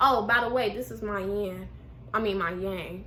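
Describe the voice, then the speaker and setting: In a room with audible echo, a woman speaks in a bright, sharp, animated tone. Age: 20s. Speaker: YouTuber. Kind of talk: casual chat.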